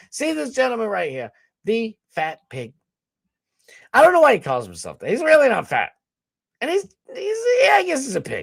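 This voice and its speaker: On a very clean recording with a silent background, a man speaks with a Boston accent at a moderate pace. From US Northeast. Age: 30s. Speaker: streamer and podcast host. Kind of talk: casual livestream chat. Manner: rambling, scattered.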